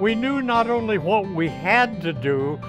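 A man's lively intonation over clear music in the background. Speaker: home buyer client. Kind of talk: client testimonial. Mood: warm, grateful. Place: garden. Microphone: lapel.

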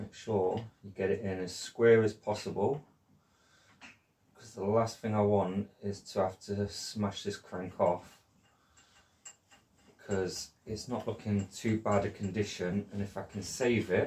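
A man with a dark, mellow, somewhat breathy tone and fairly low pitch talks at a fairly slow pace, with fairly even intonation and long, frequent pauses. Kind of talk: tutorial. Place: workshop. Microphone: camera far.

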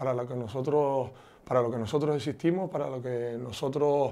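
A man speaks with a Canarian accent in a dark, mellow tone. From Canary Islands, Tenerife (Ofra, Santa Cruz); Canary Islands. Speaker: politician. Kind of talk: interview; interview answer. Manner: halting. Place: home room. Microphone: lapel.

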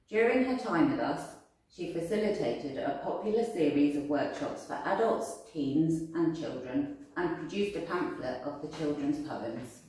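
Fairly low pitch from a woman, with very wide pitch swings, a moderate pace, hardly any pauses, and strong room echo. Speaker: arts centre staff. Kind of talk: event introduction. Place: home room.

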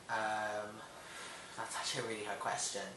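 A man speaks with an American accent. Audible room echo and light background noise surround him. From Hong Kong. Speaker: vlogger. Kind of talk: casual talk to camera. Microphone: webcam.

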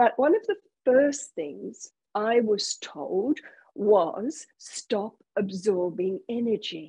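A woman with a dark, mellow, somewhat breathy tone, fairly high pitch, very wide pitch swings, and a very slow pace, against a quiet background. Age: 60s. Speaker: spiritual teacher. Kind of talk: spiritual talk. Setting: video call. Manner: slow, deliberate for translators; animated. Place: home room. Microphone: earbuds.

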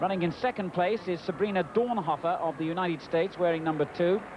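Over noticeable background noise, a man with a high pitch talks at a fairly quick pace with fairly even intonation. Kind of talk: live sports commentary. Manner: measured, fluent broadcast commentator delivery.

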